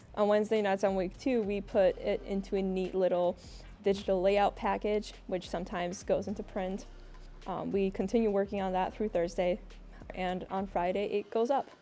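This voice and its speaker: A woman speaks at a moderate pace and medium pitch, her tone dark and mellow, her intonation monotone and flat. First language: Russian. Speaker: student newspaper editor. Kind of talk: interview.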